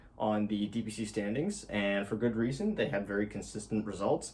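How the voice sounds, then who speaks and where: A man's mid-pitched voice, a bit breathy, moves up and down in pitch in a typical way. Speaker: esports video commentator. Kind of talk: solo video commentary. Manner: hesitant with fillers and repeats.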